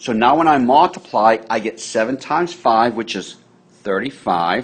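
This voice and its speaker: With lively intonation, an unremarkable speaking voice proceeds at a fairly slow pace. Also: man. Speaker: math teacher. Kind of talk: tutorial.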